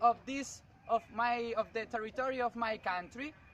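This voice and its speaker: In a Spanish accent, a man uses a raised, projected voice at an extremely high pitch, with a bright, sharp tone and a fairly slow pace. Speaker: student. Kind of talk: class presentation. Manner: halting.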